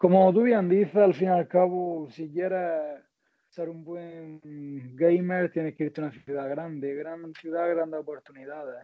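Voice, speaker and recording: A high-pitched man talks with big swings in loudness. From Spain, Almería (Andalusia). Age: 20s. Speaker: interviewee sharing his dating experience. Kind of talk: casual interview.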